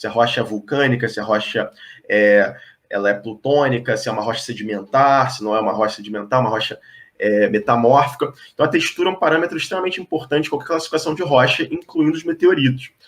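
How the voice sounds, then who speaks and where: This man talks at a very fast pace in a fairly high pitch. His intonation is lively. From Brazil, Rio de Janeiro. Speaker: geologist. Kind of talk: explanatory talk in online interview. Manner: hesitant with frequent fillers.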